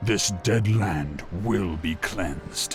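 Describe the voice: A man does a put-on character voice at a low pitch with ordinary pitch variation. He goes at a very slow pace while faint music plays in the background.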